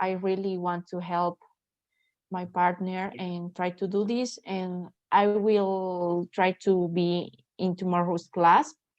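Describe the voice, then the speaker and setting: With a Spanish accent, a woman of medium pitch speaks very slowly in a flat, monotone way. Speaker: language student. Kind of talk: casual chat. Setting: video call. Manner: halting.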